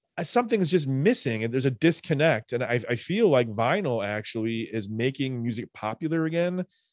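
Against a quiet background, a man with an American accent speaks in a plain, everyday voice at medium pitch, fairly quick pace and lively intonation, with hardly any pauses. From Chicago south suburbs. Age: 40s. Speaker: musician and music teacher. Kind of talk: casual chat.

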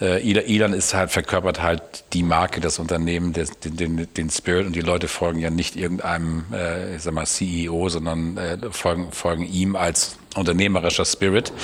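Amid noticeable background noise, a man with a very deep, low pitch speaks in a monotone, flat way at a moderate pace with hardly any pauses. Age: 50s. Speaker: car company executive. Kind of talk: interview. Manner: halting.

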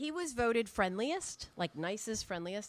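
A woman speaks in an unremarkable speaking voice with an American accent. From New Hampshire, US. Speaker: storyteller. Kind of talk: live storytelling. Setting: stage with audience.

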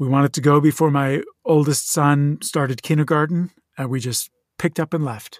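In a normal speaking voice, a man talks fairly quickly at a fairly high pitch with fairly even intonation, the sound dry and close with no echo and the recording very clean over a silent background. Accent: American. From southern New Jersey, near Philadelphia. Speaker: actor. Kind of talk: casual interview.

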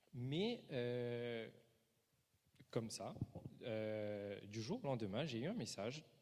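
A man talks very slowly at a medium pitch, with ordinary pitch variation and long, frequent pauses. Room echo is audible. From Mauritius. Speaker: preacher. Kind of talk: sermon.

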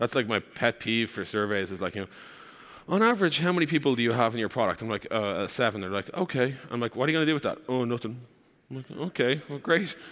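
At a very fast speed, the speech carries lively intonation. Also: man, medium pitch for a man. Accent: Irish. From Ireland. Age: 30s. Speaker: startup co-founder. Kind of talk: conference talk.

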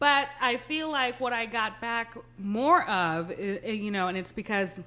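Animated in tone, a woman talks with a Texan accent on a very clean recording against a silent background. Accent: American, Texan. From US Texas, Guyanese family. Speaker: podcast co-host. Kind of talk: casual chat. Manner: animated, laughs often.

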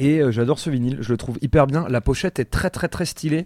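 Dark and mellow in tone, a man's voice shows ordinary pitch variation on a very clean recording with a silent background. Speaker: music podcast host. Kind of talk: casual chat. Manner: animated.

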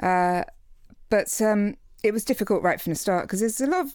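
A woman with an English accent and ordinary pitch variation, on a very clean recording with a silent background. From England. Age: 40s. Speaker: author. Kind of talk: casual chat.

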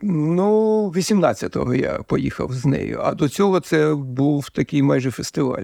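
At a very slow pace, a man talks with a fairly high pitch, a dark, mellow tone and very even loudness, in a dry, close sound with no echo. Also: ordinary pitch variation. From Ukraine, Kharkiv. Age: 60s. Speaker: territorial defense soldier. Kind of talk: interview.

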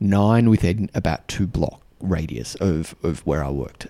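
Here a man with an Australian accent speaks in a very deep, low voice, his tone warm, dark and mellow, with ordinary pitch variation. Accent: Australian, fairly mild. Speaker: podcast host and mentor for diplomats. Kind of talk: solo podcast monologue. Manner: filler-heavy, warm, conversational.

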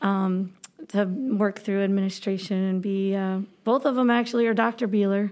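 With an American accent, a woman uses a normal speaking voice at medium pitch, keeping very even loudness, fairly even intonation and a moderate pace. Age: 30s. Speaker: Spanish teacher. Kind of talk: casual chat.

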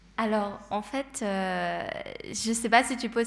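A woman speaks in an ordinary speaking voice. Her intonation is fairly even. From Switzerland, Geneva. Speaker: psychology student and streamer. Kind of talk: panel talk.

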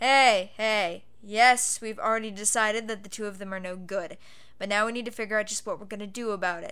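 A woman puts on a gruff character voice with a fairly high pitch, speaking at a fairly quick clip while her volume swings widely. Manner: gruff, steady, weary.

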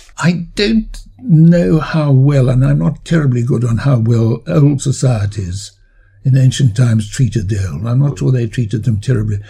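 Lively intonation from a man at medium pitch and a moderate pace, somewhat breathy, with a dark, mellow tone. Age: 80s. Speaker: biologist and author. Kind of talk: interview.

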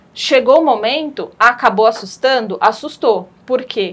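Her voice high-pitched, a woman talks at a fairly slow pace. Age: 30s. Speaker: pension specialist in finance. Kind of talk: interview. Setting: studio. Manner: halting.

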